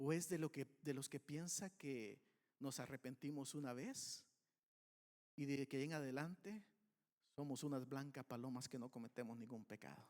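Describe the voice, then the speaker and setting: A man with a fairly high voice speaks at a moderate pace, his pitch varying in an ordinary way. Long, frequent pauses break up his speech, and the sound is dry and close with no echo. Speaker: pastor. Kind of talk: sermon.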